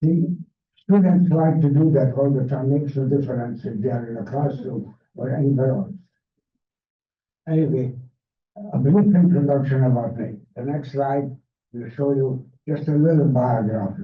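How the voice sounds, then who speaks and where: With audible room echo, a man with a fairly high voice speaks, leaving long, frequent pauses. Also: ordinary pitch variation, moderate pace. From Hungary, Budapest. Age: 80s+. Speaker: Holocaust survivor speaker. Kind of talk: public talk. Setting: library event with audience.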